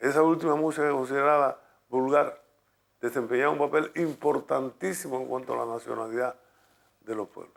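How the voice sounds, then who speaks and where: A man talks at a fairly quick pace and a fairly high pitch, with ordinary pitch variation and big swings in loudness. His is an unremarkable speaking voice. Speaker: radio announcer and music promoter in Cuba. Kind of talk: documentary interview answer.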